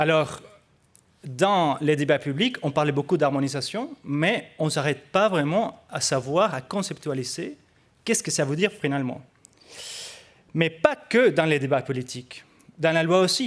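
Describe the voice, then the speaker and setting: A man with a non-native accent talks at a fairly slow pace, leaving long, frequent pauses. His intonation is lively. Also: fairly high pitch for a man. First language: not French (speaking French). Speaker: researcher. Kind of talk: conference presentation. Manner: hesitant, many fillers.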